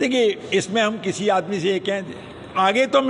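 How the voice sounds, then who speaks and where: A man's pitch moves in an ordinary way as noticeable noise fills the background. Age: 70s. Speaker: college head. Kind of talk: interview.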